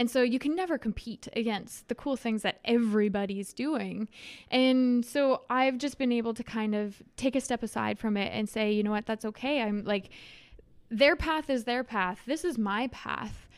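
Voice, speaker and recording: With a Canadian accent, a plain, everyday voice speaks at a moderate pace with ordinary pitch variation on a very clean recording with a silent background. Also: woman, fairly high pitch for a woman. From Saskatchewan, rural grain farm near Leslie. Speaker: travel content creator. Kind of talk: interview.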